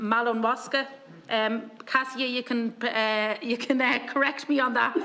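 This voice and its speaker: A woman with a Dublin accent speaks in a flat, monotone way at a fairly high pitch. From Ireland, Dublin. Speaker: committee chair. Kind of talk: formal committee meeting chairing.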